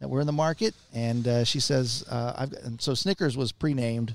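A man with a Texan accent, medium pitch, ordinary pitch variation and a fairly quick pace. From Texas, San Antonio. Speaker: radio announcer. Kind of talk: radio interview. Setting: recording in a western outfitters store.

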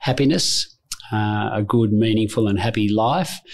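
This man has an Australian accent. He talks at a medium pitch. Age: 50s. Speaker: insurance broker executive. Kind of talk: interview.

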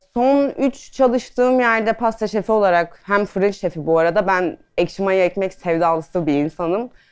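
A woman with an ordinary speaking voice talks at a moderate pace and medium pitch, her intonation lively and her loudness very even. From Adana, Turkey. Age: 30s. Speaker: pastry chef and food stylist. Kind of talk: casual talk to an audience. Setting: talk on stage with audience.

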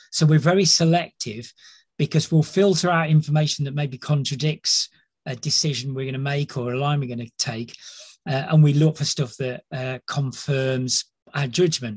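At a moderate pace, a man with a fairly high, somewhat breathy voice shows ordinary pitch variation in a dry, close recording with no echo. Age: 50s. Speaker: leadership psychologist. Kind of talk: casual chat.

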